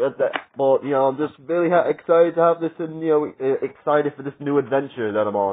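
Very fast speech from a man with a fairly high-pitched voice. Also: ordinary pitch variation. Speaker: wrestling media collector vlogger. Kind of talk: casual vlog. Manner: loud. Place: home room. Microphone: phone near.

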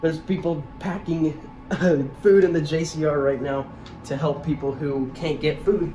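Faint music plays in the background as a man speaks. His pace is moderate and his pitch varies in an ordinary way. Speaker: college student vlogger. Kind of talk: casual vlog chat. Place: home room. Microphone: phone near.

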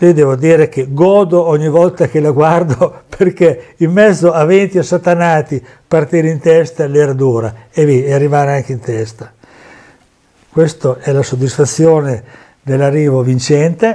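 Against a quiet background, a man speaks at a fairly slow pace. His tone is dark and mellow, his pitch fairly high. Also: ordinary pitch variation. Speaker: former amateur racing driver and memorabilia dealer. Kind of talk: storytelling over photos. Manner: animated. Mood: proud, enthusiastic. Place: home room. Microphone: lapel.

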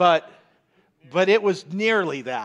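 A man talks at a very slow pace. His pitch is high. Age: 50s. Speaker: pastor. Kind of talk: sermon. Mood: warm, humorous. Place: church. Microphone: headset.

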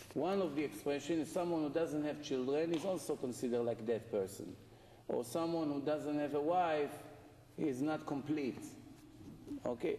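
Light background noise and audible room echo surround a man speaking at a moderate pace with ordinary pitch variation and very even loudness. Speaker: rabbi giving a Torah lecture. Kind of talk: impassioned sermon, urging listeners on. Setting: live lecture to an evening audience. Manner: urgent, emphatic, driving repetition. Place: hall. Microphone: camera far.

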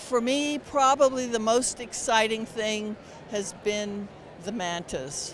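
Very slow pace, dry sound with no echo, and light background noise. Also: woman. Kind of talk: interview answer. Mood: warm, enthusiastic. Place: hall. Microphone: handheld.

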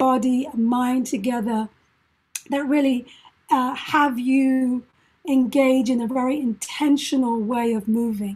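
In a high pitch and a gentle tone, a woman speaks with fairly even intonation. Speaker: mindfulness facilitator and performing arts educator. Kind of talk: guided meditation. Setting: video call. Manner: slow, soft, calm and soothing; gentle, paced to breathing.

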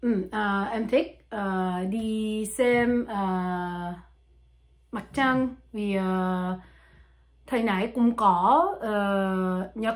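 The speaker has a French accent and talks at a very slow pace. Pitch variation is ordinary, and the background is quiet. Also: woman. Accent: French-accented learner Vietnamese. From France. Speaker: language learner. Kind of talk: casual talk to camera. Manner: hesitant, many fillers. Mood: relaxed, smiling. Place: home room. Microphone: phone near.

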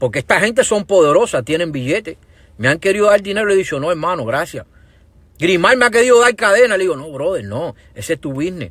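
Over a quiet background, a man with a high pitch talks at a very fast pace in an animated tone with very wide pitch swings. The sound is dry with no echo. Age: 40s. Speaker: social media livestreamer. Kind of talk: livestream rant. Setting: Facebook live stream. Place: car. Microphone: earbuds.

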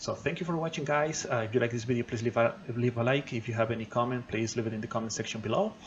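A man talking at a very fast pace with ordinary pitch variation over light background noise. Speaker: tech channel host. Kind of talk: tutorial. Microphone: phone near.

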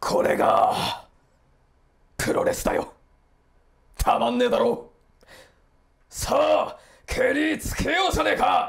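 Using a put-on character voice, a man speaks extremely high for a man at a fairly slow pace, with very wide pitch swings and long, frequent pauses. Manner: rough, shouting.

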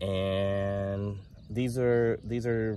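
Light noise hums behind the man's voice. There's no echo, so the sound is dry. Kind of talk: casual vlog chat. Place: garden. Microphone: phone near.

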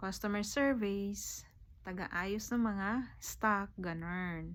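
Very slow speech from a woman, room echo clearly audible. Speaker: vlogger. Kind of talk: casual vlog talk.

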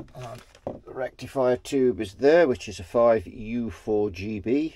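In a British accent, a man with a dark, mellow tone speaks at a fairly slow pace, showing big swings in loudness and ordinary pitch variation in a dry sound with no echo. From Britain. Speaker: guitar amp repair technician. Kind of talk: repair tutorial. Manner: casual, thinking aloud. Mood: relaxed, lightly humorous. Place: workshop.

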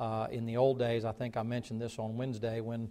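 A dark, mellow tone comes through at a very fast pace. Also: man. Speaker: pastor. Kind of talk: sermon. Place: church.

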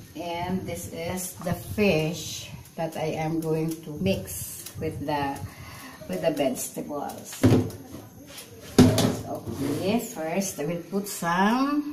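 A woman at a very slow pace, with ordinary pitch variation, over loud background noise. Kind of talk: casual cooking vlog chat. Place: kitchen. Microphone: phone near.

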